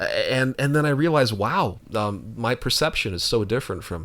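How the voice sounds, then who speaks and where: Lively intonation from a man speaking at a fairly brisk clip. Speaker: podcast co-host. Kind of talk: casual chat. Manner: fast; halting.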